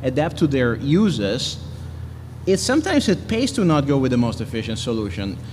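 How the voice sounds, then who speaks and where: The man keeps a moderate pace while noticeable background noise plays behind him. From Italy. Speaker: engineer and maker. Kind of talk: lightning talk with Q&A. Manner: halting, many restarts.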